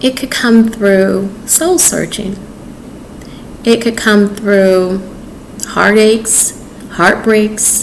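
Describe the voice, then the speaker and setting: With audible room echo and noticeable background noise, a woman speaks at a very slow pace and fairly high pitch, leaving long, frequent pauses. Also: ordinary pitch variation. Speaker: author, chef and dating advice vlogger. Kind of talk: casual advice monologue to camera. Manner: calm, peaceful.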